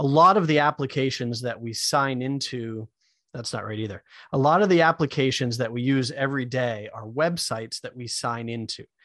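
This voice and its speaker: With an American accent, a man uses a normal speaking voice at medium pitch, with ordinary pitch variation and a moderate pace, against a quiet background. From US Northeast, Maine. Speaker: web developer. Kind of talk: podcast interview.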